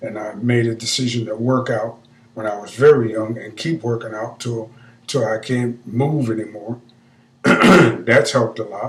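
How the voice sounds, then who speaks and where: A somewhat breathy man at medium pitch speaks at a moderate pace, his intonation fairly even while his loudness swings widely. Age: 60s. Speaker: vlogger. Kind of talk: casual monologue. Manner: halting.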